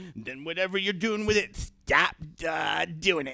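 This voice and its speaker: Putting on a character voice, a man speaks high-pitched with lively intonation and big swings in loudness at a moderate pace. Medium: audio drama. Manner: stammering, flustered.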